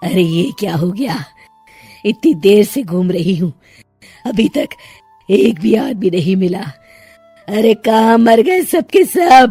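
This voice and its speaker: A cartoonish character voice at a fairly high pitch and fairly slow pace leaves long, frequent pauses while faint music plays in the background. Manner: menacing, taunting.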